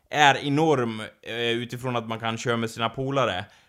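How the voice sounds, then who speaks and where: The voice belongs to a man. His pace is moderate. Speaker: podcast co-host. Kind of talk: casual chat. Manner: uneven, poorly controlled voice.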